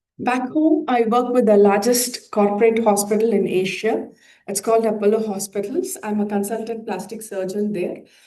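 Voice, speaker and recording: A woman's dark, mellow tone with ordinary pitch variation and audible room echo. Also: fairly high pitch for a woman, moderate pace. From India. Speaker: plastic surgeon. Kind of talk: conference presentation. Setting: conference hall with audience. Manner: hesitant, many filler uhs.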